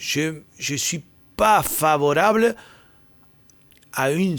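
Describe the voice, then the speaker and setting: A man speaks with a Spanish accent. The recording is very clean, with a silent background. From Argentina. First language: Spanish (speaking French). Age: 50s. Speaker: football agent and former scout. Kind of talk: podcast interview. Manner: halting.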